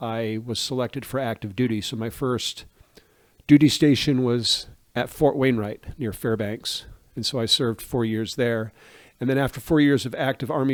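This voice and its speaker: In a very clean recording with a silent background, a man with an American accent talks in an ordinary speaking voice, using fairly even intonation at a medium pitch. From US Northeast (Maine). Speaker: pastor. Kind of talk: interview. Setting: podcast interview.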